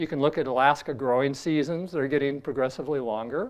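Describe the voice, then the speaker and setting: With ordinary pitch variation, the speaker has a plain, everyday voice. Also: man. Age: 60s. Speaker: astronomy professor. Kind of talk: lecture. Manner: casual, with filler words.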